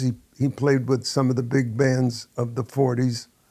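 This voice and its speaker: A man's dark, mellow voice with an American accent. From New York City. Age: 80s+. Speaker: jazz trumpeter and band director. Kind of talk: interview storytelling. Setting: at his home.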